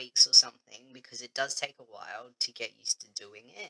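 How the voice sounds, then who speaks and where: A man with a bright, sharp tone talks at a fairly quick pace in a dry, close sound with no echo. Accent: Australian. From Australia. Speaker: vlogger. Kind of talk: casual vlog chat.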